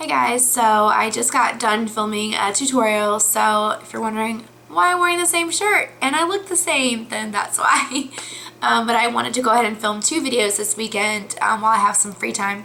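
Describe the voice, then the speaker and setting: A woman speaks in a fairly high pitch with lively intonation at a moderate pace. Audible room echo fills the recording. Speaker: beauty vlogger. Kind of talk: casual vlog talk. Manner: hesitant, many fillers.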